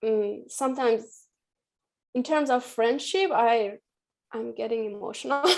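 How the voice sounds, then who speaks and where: A woman with an Iranian accent, fairly high pitch, ordinary pitch variation, a moderate pace and long, frequent pauses. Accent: Iranian (Persian) accent in English. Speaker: artist. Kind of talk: panel discussion.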